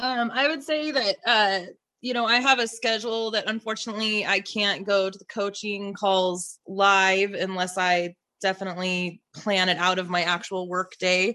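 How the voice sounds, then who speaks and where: Against a quiet background, a woman with an American accent speaks at a moderate pace and medium pitch, her bright, sharp tone showing ordinary pitch variation and big swings in loudness. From Idaho. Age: 40s. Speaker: online health community member. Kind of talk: casual chat.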